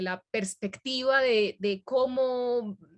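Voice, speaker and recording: The background stays quiet. This woman's voice is high, with ordinary pitch variation. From Medellín, Colombia. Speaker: academic integrity trainer, workshop presenter. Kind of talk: workshop presentation.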